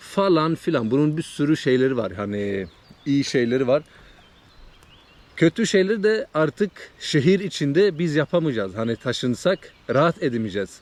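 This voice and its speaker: A man speaks at a moderate pace in a fairly high pitch. His voice moves in very wide pitch swings. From Sweden, Trollhättan (Turkish parents). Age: 30s. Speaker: vlogger. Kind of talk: casual vlog monologue. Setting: outdoors by a lake in a forest. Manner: casual, hesitant with many fillers.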